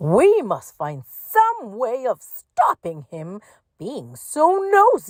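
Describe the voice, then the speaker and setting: In a put-on character voice, a woman talks very slowly at a high pitch. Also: big swings in loudness. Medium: read story.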